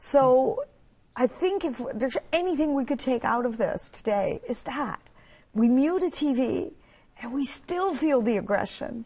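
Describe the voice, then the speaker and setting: At a fairly slow pace, a woman speaks with a high pitch, a dark, mellow tone and lively intonation. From Netherlands. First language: Dutch. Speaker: author and public speaker. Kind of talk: TV interview.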